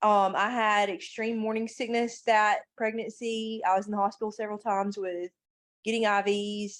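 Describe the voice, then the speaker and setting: Against a quiet background, the speaker keeps a moderate pace with monotone, flat intonation. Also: woman, fairly high pitch for a woman. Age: 30s. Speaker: life coach and mother. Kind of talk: podcast interview. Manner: halting, many fillers.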